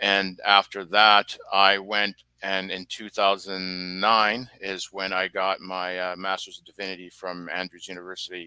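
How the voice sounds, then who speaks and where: A man with a very deep, low pitch talks at a fairly slow pace in a monotone, flat intonation, with hardly any pauses and big swings in loudness. The tone is bright and sharp, and the sound is dry and close with no echo. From British Columbia, Canada. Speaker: guest, former government admin assistant. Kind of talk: interview testimony. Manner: halting, many fillers.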